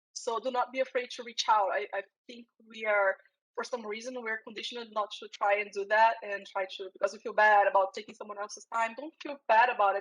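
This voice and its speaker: A woman at fairly high pitch and a very fast pace, with a Brazilian accent, in a dry, close sound with no echo. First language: Portuguese. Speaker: security professional. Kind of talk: interview. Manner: halting, repeats words.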